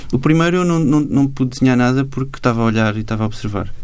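Here a man talks at a very fast pace. His pitch sits in the medium range. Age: 40s. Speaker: cartoonist and illustrator. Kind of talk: interview.

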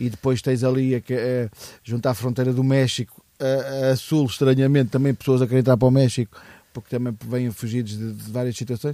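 Dark and mellow in tone, a man of medium pitch speaks fairly quickly in a monotone, flat delivery. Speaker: podcast co-host. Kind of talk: casual chat. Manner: halting.

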